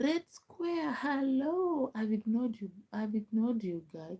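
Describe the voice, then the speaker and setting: Somewhat breathy and dark, mellow in tone, a woman with a Kenyan accent speaks with very wide pitch swings. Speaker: live streamer. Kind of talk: casual chat.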